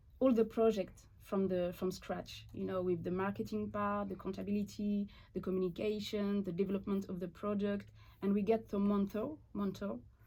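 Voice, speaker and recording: A woman's medium-pitched, somewhat breathy voice with a dark, mellow tone, fairly even intonation and a moderate pace. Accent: French. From eastern France. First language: French. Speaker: watchmaker and business owner. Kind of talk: interview. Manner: halting.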